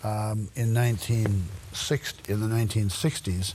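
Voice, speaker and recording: A man talks in a fairly low pitch with an American accent. His voice is somewhat breathy. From US Midwest, Royal Oak, Michigan. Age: 80s+. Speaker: local historian and lecturer. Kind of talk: lecture. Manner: halting, many fillers.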